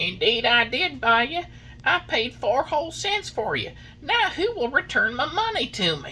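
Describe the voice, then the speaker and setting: A man uses a gruff, put-on character voice at an extremely high pitch. He speaks at a moderate pace over clear background noise. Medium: read story. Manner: gruff, irritable.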